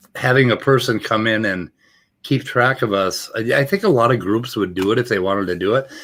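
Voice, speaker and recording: Recorded very cleanly against a silent background, a man with an American accent and an unremarkable speaking voice talks at a fairly quick pace, his medium pitch showing ordinary variation. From US Midwest, Minnesota Iron Range. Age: 60s. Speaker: recovering addict. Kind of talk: casual chat.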